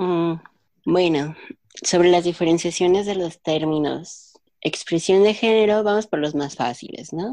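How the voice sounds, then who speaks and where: A woman with a dark, mellow tone and fairly low pitch talks at a fairly slow pace with ordinary pitch variation. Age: 20s. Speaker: linguist. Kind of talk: casual chat.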